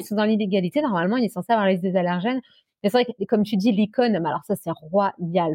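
A woman's medium-pitched voice at a very fast pace, with lively intonation. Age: 30s. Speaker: nurse and travel blogger with coeliac disease. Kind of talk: casual interview.

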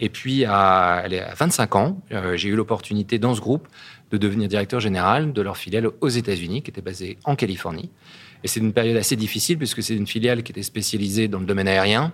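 A man speaks at a fairly quick pace in a fairly low pitch with ordinary pitch variation, a plain, everyday voice. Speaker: company CEO. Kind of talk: interview.

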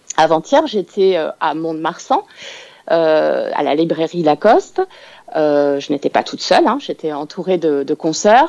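A woman with a plain, everyday voice speaks at a fairly slow pace, her pitch fairly low with ordinary variation. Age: 40s. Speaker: crime novelist. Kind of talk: radio interview. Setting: phone call.

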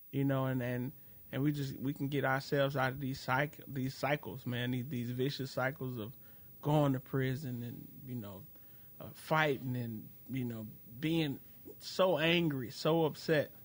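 Speaking fairly slowly with an American accent, a man uses a plain, everyday voice and fairly even intonation. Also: medium pitch for a man. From Chicago. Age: 30s. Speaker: comedian and podcaster. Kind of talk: casual chat.

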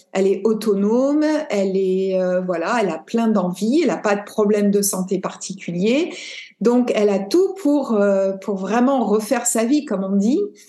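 A woman speaks at a fairly slow pace with a dark, mellow tone, medium pitch, ordinary pitch variation and very even loudness, and the room echo is audible. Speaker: podcast host and yoga teacher. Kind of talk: interview conversation.

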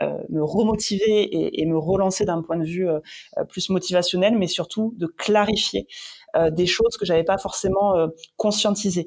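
Here a woman speaks at a medium pitch. Her pace is moderate and her intonation fairly even. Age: 30s. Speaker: entrepreneur. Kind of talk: interview. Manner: halting.

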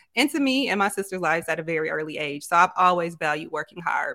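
A woman talks at a very fast pace with an American accent, in a fairly low pitch with a bright, sharp tone. The sound is dry and close, with no echo. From Grand Rapids, Michigan. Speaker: content creator and entrepreneur. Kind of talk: casual interview.

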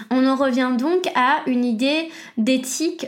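In a room with audible echo, a woman talks with ordinary pitch variation. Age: 20s. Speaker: podcast host. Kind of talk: solo educational monologue.

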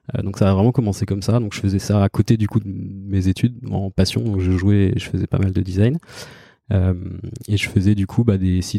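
A dark, mellow tone comes at a fairly quick pace with fairly even intonation, recorded dry and close with no echo. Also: man, fairly low pitch for a man, very clean recording, silent background. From Normandy, Caen. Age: 30s. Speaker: head of design. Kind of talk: interview. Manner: halting, many fillers.

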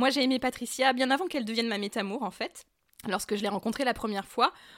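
On a very clean recording with a silent background, a woman speaks at a high pitch with lively intonation. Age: 30s. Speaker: polyamorous woman sharing her experience. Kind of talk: interview testimony. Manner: hesitant with fillers.

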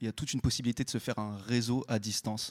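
In a very clean recording with a silent background and a dry, close sound with no echo, a man with an unremarkable speaking voice talks fairly quickly at a medium pitch. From Saint-Étienne, France. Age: 20s. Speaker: record label project manager. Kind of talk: panel discussion. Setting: stage with audience.

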